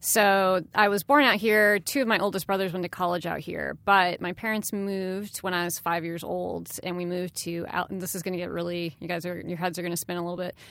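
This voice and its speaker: A woman with an American accent uses a normal speaking voice, fairly low in pitch, at a fairly quick pace with fairly even intonation and hardly any pauses. The recording is very clean with a silent background. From US Midwest, Chicago area. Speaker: pop culture panelist and writer. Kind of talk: casual chat. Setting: studio.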